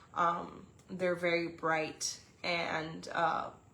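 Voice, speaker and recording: A woman speaks with a fairly low pitch and monotone, flat intonation. Audible room echo is present. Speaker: resin artist and gallery owner. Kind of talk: unboxing livestream. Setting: live video stream. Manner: casual with many fillers and self-corrections.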